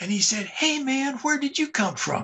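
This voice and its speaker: A man's raised, projected voice with an American accent, bright, sharp tone, lively intonation and moderate pace. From US Midwest, St. Louis. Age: 70s. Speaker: historian. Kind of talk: interview.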